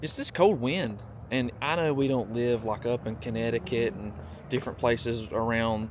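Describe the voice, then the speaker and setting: Noticeable background noise runs under a man's speech. He talks at a moderate pace and a medium pitch. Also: ordinary pitch variation. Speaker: vlogger's partner on a vlog. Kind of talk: casual chat. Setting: outdoors on a walk. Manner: animated.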